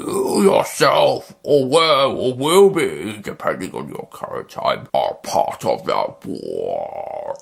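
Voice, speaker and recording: A man puts on a character voice. He speaks at a very slow pace. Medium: read story. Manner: menacing.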